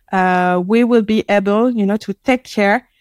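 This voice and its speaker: In a very clean recording with a silent background, a woman speaks at a medium pitch with fairly even intonation, the sound dry and close with no echo. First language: French. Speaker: marketing head at a tech company. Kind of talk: casual interview chat. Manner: hesitant, halting, many fillers.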